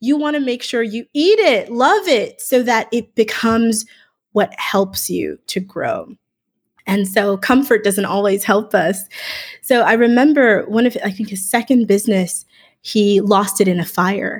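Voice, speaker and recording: A woman talks at a fairly slow pace. Her pitch variation is ordinary. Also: fairly high pitch for a woman. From Miami, Florida. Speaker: voiceover artist and communication professor. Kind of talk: interview.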